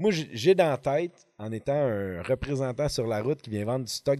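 A man with a Quebec accent speaks at a moderate pace in a dark, mellow tone, his medium-pitched voice showing ordinary pitch variation. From Quebec, Montreal. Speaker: fishing podcast host. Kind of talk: casual chat. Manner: animated.

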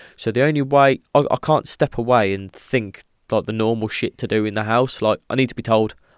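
With an English accent, a man talks at a fairly quick pace and ordinary pitch variation, his voice dry and close with no echo on a very clean recording over a silent background. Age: 30s. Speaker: podcast host. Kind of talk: solo casual monologue.

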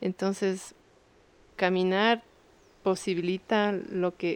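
The speech moves at a very slow pace with monotone, flat intonation. The sound is dry and close, with no echo. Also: woman. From Ecuador, Quito. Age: 30s. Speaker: visual artist and cultural manager. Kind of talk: interview testimony.

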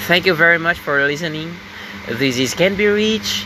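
There is noticeable background noise as a man speaks with a Filipino accent. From Philippines. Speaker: podcaster. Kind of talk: motivational monologue. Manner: halting.

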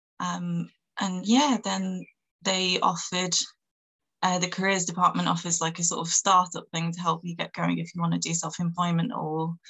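A woman with a Manchester accent at a moderate pace. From northern England. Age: 20s. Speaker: PR publicist and music journalist. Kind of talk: casual chat.

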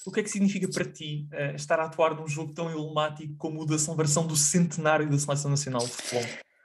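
Noticeable background noise and audible room echo surround a man talking at a very fast pace. His pitch is fairly high, with fairly even intonation. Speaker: podcast host. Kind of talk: interview.

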